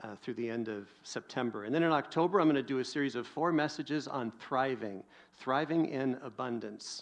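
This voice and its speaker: At a fairly quick pace, a man talks in a normal speaking voice with a medium pitch and ordinary pitch variation. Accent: American. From US Pacific Northwest. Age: 50s. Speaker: pastor. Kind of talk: sermon.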